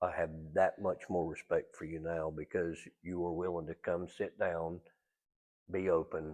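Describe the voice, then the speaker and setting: A man's speech with long, frequent pauses against a quiet background. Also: moderate pace. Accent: North Carolina. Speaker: interview host. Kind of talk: interview.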